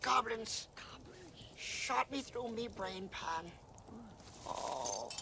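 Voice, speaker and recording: Put-on character voice at a middle pitch and a very slow pace, over clear background noise. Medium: voice reel. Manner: colloquial, rough-spoken.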